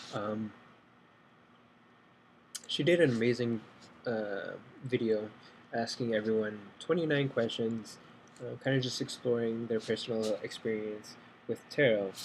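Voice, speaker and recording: A soft-spoken man talks at medium pitch with fairly even intonation. He leaves long, frequent pauses. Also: fairly slow pace. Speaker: tarot beginner. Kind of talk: casual talk to camera.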